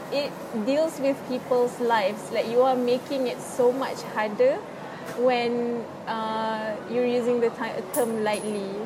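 A high-pitched woman with a Malaysian accent, fairly even intonation and a very slow pace, amid noticeable background noise and audible room echo. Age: 20s. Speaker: university student with OCD. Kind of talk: casual interview about personal experience. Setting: public space in a mall.

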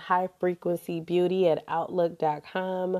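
A woman with a fairly low pitch speaks at a very slow pace in a monotone, flat intonation, the sound dry and close with no echo. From Cleveland, Ohio, US. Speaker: book podcast host. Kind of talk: casual solo monologue. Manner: conversational with frequent fillers.

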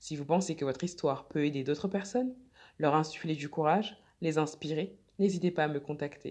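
Very deep and low for a woman, her voice moves at a fairly quick pace. This woman's pitch varies in an ordinary way over a quiet background. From France. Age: 30s. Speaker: podcast host and blogger. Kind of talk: scripted narration.

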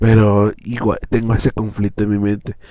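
A man talks at a fairly low pitch. Noticeable background noise runs underneath. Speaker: podcaster. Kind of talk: personal monologue. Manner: hesitant.

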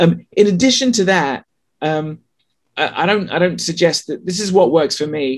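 A man speaks with a slight English accent. His pitch is high. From England. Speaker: sex writer and author. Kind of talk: casual interview chat.

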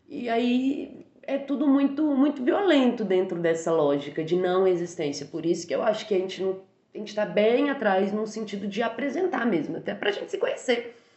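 At a moderate pace with hardly any pauses, a woman's fairly high pitch makes very wide swings over noticeable background noise. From Brazil, Minas Gerais (Barbacena). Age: 30s. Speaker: university language teacher and translator. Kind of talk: casual interview.

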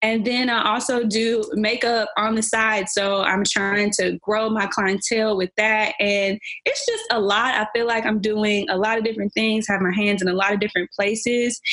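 Against noticeable background noise, a woman talks at a moderate pace with hardly any pauses. Her fairly high voice stays monotone and flat, at very even loudness. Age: 20s. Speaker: leasing consultant and makeup artist. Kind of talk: casual chat.

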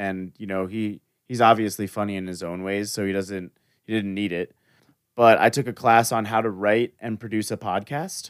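This man speaks with an American accent in a normal speaking voice. His pitch is fairly low, his pace moderate and his intonation fairly even. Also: very clean recording, silent background. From Florida. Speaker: podcast host. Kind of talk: casual interview.

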